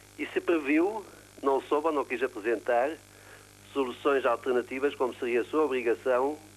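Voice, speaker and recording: This is a man speaking. He keeps a moderate pace. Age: 60s. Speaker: caller, tenant. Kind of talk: prepared statement. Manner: formal.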